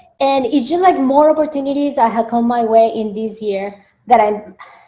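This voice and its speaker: Speaking with a Spanish accent, a woman uses a fairly high pitch and ordinary pitch variation. She moves at a fairly quick pace. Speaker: dietitian and media spokesperson. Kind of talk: interview. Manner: hesitant, many fillers.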